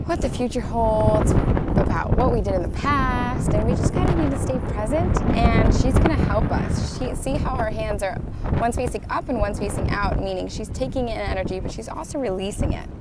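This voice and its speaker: Over loud background noise in a dry sound with no echo, a woman talks at a fairly quick pace with hardly any pauses. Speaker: card reader vlogger. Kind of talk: casual vlog chat. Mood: cheerful, warm. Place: beach. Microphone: earbuds.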